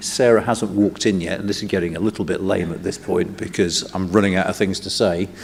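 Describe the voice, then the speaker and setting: A man with a fairly low voice talks fairly quickly while noticeable noise runs in the background. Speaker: think tank director opening a conference. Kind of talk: welcome speech.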